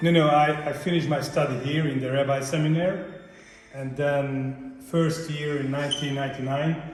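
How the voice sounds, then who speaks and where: A moderate-paced, flat, monotone delivery in a Hungarian accent, with audible room echo and noticeable background noise. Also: man, fairly high pitch for a man. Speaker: rabbi. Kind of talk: interview.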